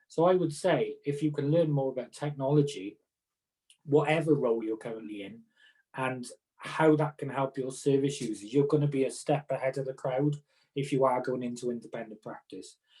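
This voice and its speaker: This man's voice has a fairly high pitch, a dark, mellow tone and a somewhat breathy edge. His intonation is fairly even and his pace fairly quick. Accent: Welsh. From Wales. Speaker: occupational therapist. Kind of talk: casual chat.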